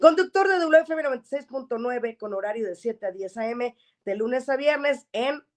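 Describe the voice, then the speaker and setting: Pitched fairly high, a woman's voice moves in very wide pitch swings. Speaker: radio show host. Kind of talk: program host introducing a guest.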